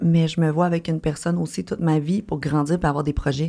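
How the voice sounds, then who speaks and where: On a very clean recording with a silent background, a woman speaks with a dark, mellow tone at a fairly low pitch, with ordinary pitch variation. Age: 30s. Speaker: online content creator. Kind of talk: casual chat.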